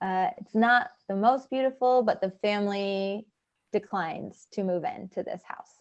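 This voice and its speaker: A woman speaks in a normal speaking voice, fairly slowly, at a medium pitch with ordinary pitch variation. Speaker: refugee volunteer trainer. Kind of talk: training session.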